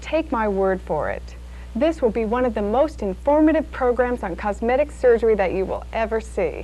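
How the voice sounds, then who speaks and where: Moderate pace from a woman over a quiet background. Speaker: TV program host. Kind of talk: infomercial host introduction.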